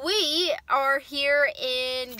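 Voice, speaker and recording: A woman speaks in a raised, projected voice. The sound is dry, with no echo. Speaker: vlogger. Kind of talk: casual vlog chat. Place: car. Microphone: phone near.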